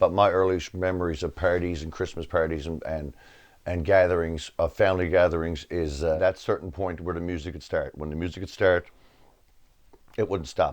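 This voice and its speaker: A man with a Newfoundland accent, very deep and low in pitch, monotone and flat, at a fairly quick pace against a quiet background. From Newfoundland, Canada (Outer Cove). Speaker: musician. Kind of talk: documentary interview. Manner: fast.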